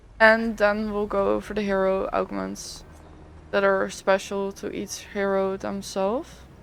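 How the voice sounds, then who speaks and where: A woman talks at a fairly slow pace. She has a non-native accent. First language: not English. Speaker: gaming content creator. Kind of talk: tutorial. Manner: casual, hesitant.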